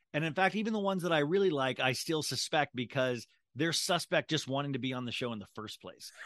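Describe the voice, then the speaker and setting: With an American accent, a man talks at a very fast pace in a fairly high voice. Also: lively intonation, dry, close sound with no echo. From Kansas. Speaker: podcast host. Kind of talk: casual interview.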